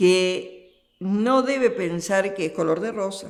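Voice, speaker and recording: The woman's voice sits at a medium pitch. It rises and falls in an ordinary way. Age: 70s. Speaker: nun. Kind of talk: interview.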